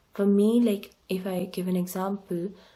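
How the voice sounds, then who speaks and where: Her voice is medium in pitch, dark and mellow, and somewhat breathy. The woman speaks in a monotone, flat way. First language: not English. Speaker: tarot reader. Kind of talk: tarot reading monologue. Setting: home desk recording. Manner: hesitant with fillers.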